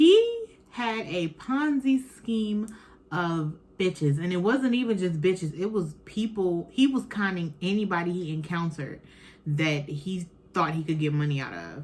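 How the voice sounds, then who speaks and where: Somewhat breathy, a woman speaks with a fairly low pitch and lively intonation at a fairly slow pace. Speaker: podcast host. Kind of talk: casual chat. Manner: animated.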